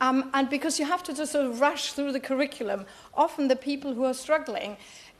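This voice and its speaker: Speaking at a fairly quick pace, a woman has a high pitch and a German accent. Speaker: politician. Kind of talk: parliamentary speech. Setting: parliamentary chamber. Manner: halting.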